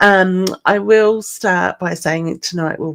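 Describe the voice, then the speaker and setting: A woman with an Australian accent. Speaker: psychic medium. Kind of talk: live stream card readings. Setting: live online stream. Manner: low-energy.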